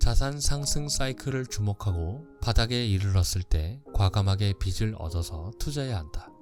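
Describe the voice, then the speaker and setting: Over music in the background, a man speaks in a fairly low voice at a fairly slow pace with lively intonation. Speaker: audiobook narrator. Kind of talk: audiobook reading of a finance book.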